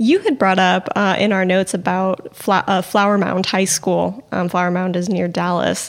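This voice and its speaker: Here is a woman with an ordinary speaking voice. Her intonation is fairly even. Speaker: podcast co-host. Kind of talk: casual chat about news.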